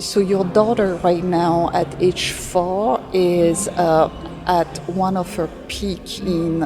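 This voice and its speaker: Noticeable background noise accompanies a woman speaking with a non-native accent. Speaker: education executive. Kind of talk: podcast interview.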